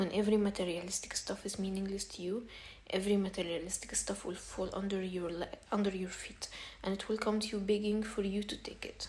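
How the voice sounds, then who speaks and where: A woman with an Arabic accent speaks at a medium pitch and a fairly quick pace. Her intonation is monotone and flat, and there is noticeable background noise. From Egypt. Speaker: self-help vlogger. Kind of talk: casual advice monologue. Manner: halting, repetitive.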